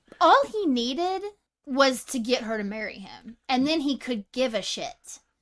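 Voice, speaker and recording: A woman's high voice makes very wide pitch swings and big swings in loudness. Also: fairly slow pace. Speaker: podcast co-host. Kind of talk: casual chat. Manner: loud, excitable.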